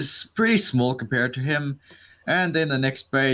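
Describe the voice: Plain reading aloud carries ordinary variation in pitch.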